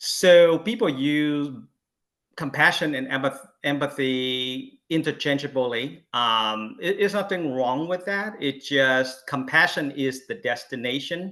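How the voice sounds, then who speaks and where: A man's fairly high voice with a Vietnamese accent, ordinary pitch variation, and a very slow pace. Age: 50s. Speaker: Buddhist panelist. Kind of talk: panel talk. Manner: halting, many fillers.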